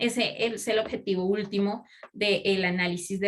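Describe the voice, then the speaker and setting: A woman with an ordinary speaking voice talks at a fairly high pitch with fairly even intonation. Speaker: pastoral social specialist. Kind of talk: lecture.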